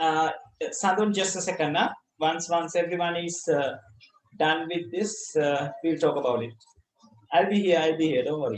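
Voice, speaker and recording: A man with a Sri Lankan accent speaks at a high pitch, leaving long, frequent pauses. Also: ordinary pitch variation, moderate pace. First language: Sinhala. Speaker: school ICT teacher. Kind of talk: online class lesson. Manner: halting, with repetitions.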